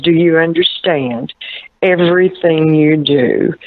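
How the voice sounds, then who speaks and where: The voice is a gruff put-on character at middle pitch. It moves at a fairly slow pace. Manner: stern.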